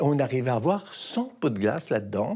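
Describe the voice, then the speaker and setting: The pace is fairly slow, and the pitch swings very widely. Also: man. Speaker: retired pastry chef. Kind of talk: documentary interview.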